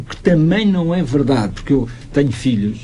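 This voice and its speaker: A man talks with lively intonation. There is audible echo in the room. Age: 60s. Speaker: youth association expert. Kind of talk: radio interview.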